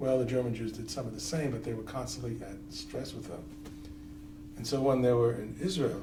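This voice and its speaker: Talking at a fairly quick pace with a New York accent, a man swings widely in loudness amid noticeable background noise and audible room echo. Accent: marked New York. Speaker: interviewee, former activist. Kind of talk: oral history interview.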